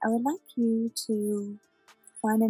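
Faint music plays in the background of a dry recording with no echo. A woman speaks in a soothing tone with ordinary pitch variation. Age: 30s. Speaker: hypnotherapist. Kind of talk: guided hypnosis. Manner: slow, soothing. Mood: soft, soothing, slow.

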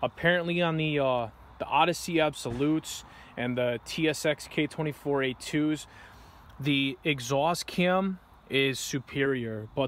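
A man speaks with ordinary pitch variation in a dry sound with no echo, over light background noise. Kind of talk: casual tutorial commentary. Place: garden. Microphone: phone near.

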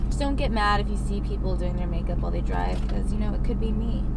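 Loud background noise behind a woman talking. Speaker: actress vlogger. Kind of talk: casual vlog chat. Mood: playful, slightly sultry. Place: car. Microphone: webcam.

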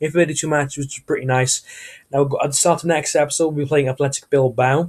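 Fairly high pitch and some breathiness in a man's voice. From Turkish heritage. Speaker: gaming YouTuber. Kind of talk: gameplay commentary. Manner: casual, hesitant with fillers.

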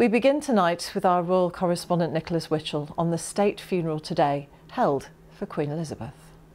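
Her pace is fairly quick. The woman's pitch sits fairly low. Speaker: news presenter. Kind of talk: news reading. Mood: calm, solemn. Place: studio.

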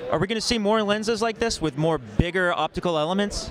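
A man talks at a fairly quick pace in a fairly bright tone. His pitch varies in an ordinary way, over faint background noise.

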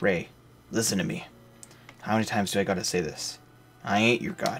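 Amid light background noise, a man uses a raspy put-on character voice at a fairly low pitch, moving at a fairly quick pace with very wide pitch swings. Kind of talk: reading game dialogue aloud in character voice. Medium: solo performance. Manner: coarse, blunt, slangy. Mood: exasperated.

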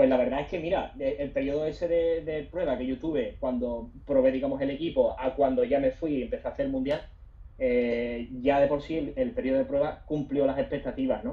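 With an unremarkable speaking voice, a man talks at a fairly quick pace, his fairly high pitch showing ordinary variation. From southern Spain, Bay of Cádiz; southern Spain. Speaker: sports photographer; guest. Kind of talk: webinar interview. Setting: Instagram live stream. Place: home room. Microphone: video call.

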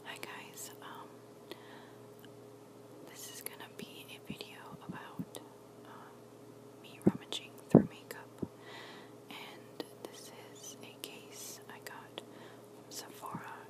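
A woman at a very slow pace, dry sound with no echo, amid loud background noise. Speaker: ASMR creator. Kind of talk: ASMR show and tell, casual talk to camera. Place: home room. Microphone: phone near.

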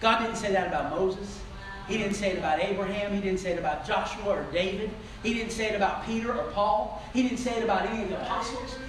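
In a room with audible echo and noticeable background noise, a man speaks at a very fast pace. His pitch is high, and his intonation is fairly even. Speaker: preacher. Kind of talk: sermon. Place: church. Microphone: camera far.

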